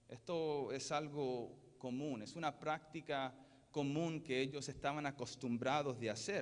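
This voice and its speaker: Very slowly, a man talks. His pitch is fairly high. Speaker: pastor. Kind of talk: sermon. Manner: halting, with self-corrections.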